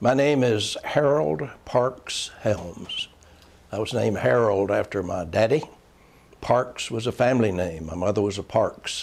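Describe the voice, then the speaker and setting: With a North Carolina accent, a man of medium pitch speaks at a fairly slow pace using lively intonation. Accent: Southern US (North Carolina). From Charlotte, North Carolina, US South. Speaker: former state legislator and county official. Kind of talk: oral history interview. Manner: hesitant, many filler sounds.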